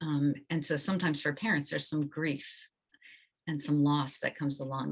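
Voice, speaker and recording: A woman's very deep, low pitch in a monotone, flat intonation. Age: 60s. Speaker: counselor. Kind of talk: webinar presentation.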